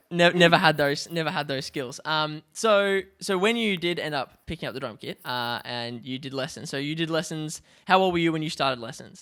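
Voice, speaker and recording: A man with an Australian accent speaks at a fairly high pitch with a bright, sharp tone. The recording is very clean, the background silent. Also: ordinary pitch variation, fairly quick pace. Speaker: podcast host and drummer. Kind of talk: casual chat.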